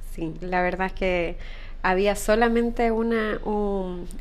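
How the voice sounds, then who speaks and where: Audible room echo surrounds a woman's voice. She speaks at a medium pitch with fairly even intonation. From Ecuador. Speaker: entrepreneur, spa business founder. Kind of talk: interview.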